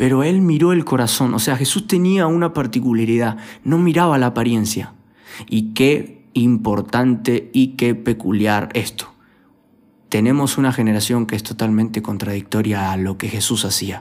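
A man's medium-pitched voice with lively intonation at a moderate pace. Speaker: youth pastor. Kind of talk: sermon.

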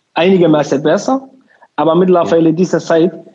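The speaker has a Somali accent and ordinary pitch variation. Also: man. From Somalia. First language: Somali (speaking German). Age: 20s. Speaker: community association chairman and lab technician. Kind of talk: interview. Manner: halting.

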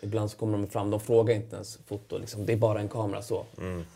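A man with a fairly low pitch, a dark, mellow tone and vocal fry talks at a fairly quick pace in a monotone, flat intonation. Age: 30s. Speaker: professional footballer. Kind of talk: interview. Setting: studio.

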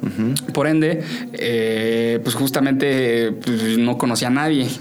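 A man's medium-pitched voice with ordinary pitch variation, audible room echo and noticeable background noise. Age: 20s. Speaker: association secretary general, young politician. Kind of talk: casual chat. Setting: studio. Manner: halting.

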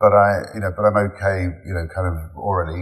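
A man with a very deep, low voice speaks at a fairly quick pace. Music plays in the background. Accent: English. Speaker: digital executive. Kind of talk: interview. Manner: halting.

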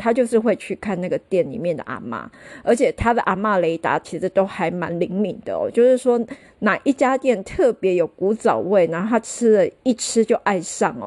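A woman with a Taiwanese accent at a moderate pace over a quiet background. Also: fairly high pitch for a woman, lively intonation, dry, close sound with no echo. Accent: Taiwanese Mandarin. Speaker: podcast host. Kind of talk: casual solo podcast monologue. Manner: chatty, many filler particles.

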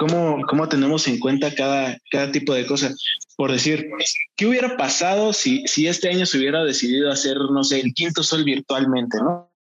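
This man has a plain, everyday voice, fairly high in pitch with lively intonation. His loudness stays very even at a moderate pace. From Mexico, Acambay (State of Mexico). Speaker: podcast co-host. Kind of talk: casual chat.

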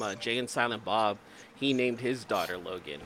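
Medium in pitch, the man's bright, sharp voice shows vocal fry. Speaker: podcast host. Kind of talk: casual banter.

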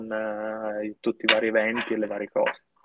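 A man's voice is heard here. The pitch is medium. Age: 20s. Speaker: beach club and restaurant owner. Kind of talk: casual interview chat.

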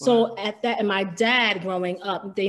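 A woman's unremarkable speaking voice at a moderate pace with fairly even intonation. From New York City, Harlem. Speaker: R&B singer, former group member. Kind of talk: casual interview about career.

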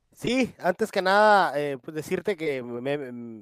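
A normal speaking voice, a man talks with fairly high pitch and ordinary pitch variation in a dry, close sound with no echo. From Mexico. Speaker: boxing commissioner and media contributor. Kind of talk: casual chat.

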